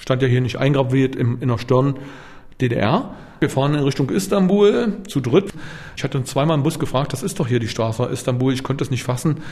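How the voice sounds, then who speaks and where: A man talks at a fairly quick pace with lively intonation. There is noticeable background noise. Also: medium pitch for a man. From East Berlin, Germany. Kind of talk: interview testimony. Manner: casual.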